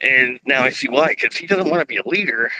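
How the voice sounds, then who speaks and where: A loud male voice with a bright, sharp tone, ordinary pitch variation and a moderate pace. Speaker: political video streamer. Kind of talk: live political monologue. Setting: outdoors. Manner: animated.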